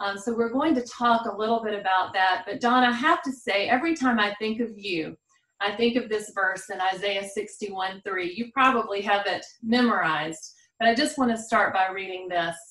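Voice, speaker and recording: A woman with a Southern US accent talks at a fairly high pitch with ordinary pitch variation. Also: moderate pace. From South Carolina. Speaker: podcast host. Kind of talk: interview chat.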